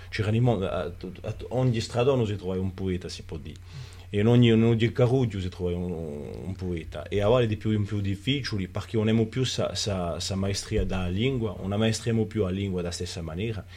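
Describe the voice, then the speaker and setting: A man with a fairly low, dark, mellow, somewhat breathy voice speaks at a moderate pace with ordinary pitch variation. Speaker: writer and cultural figure. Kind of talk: interview. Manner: halting, with many repetitions.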